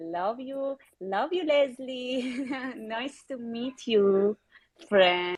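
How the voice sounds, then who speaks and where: The speaker goes at a very slow pace with lively intonation. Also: woman, high pitch for a woman. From Iran. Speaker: illustrator. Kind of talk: self-introduction. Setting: twitter spaces audio room. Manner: halting.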